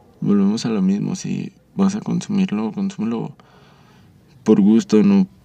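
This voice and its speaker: A man's pitch swings very widely as he talks at a medium pace, with noticeable noise behind him. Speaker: podcast host. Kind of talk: casual chat. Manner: animated.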